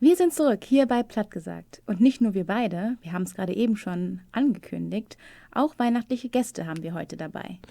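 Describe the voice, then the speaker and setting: In a very clean recording with a silent background and a dry, close sound with no echo, a woman speaks at a fairly quick pace and fairly high pitch, her dark, mellow tone carrying lively intonation and big swings in loudness. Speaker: radio show host. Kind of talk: radio show presenting.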